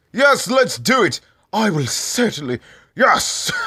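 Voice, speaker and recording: A put-on character voice from a man, delivered at a fairly slow pace. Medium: audio drama. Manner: brash, swearing.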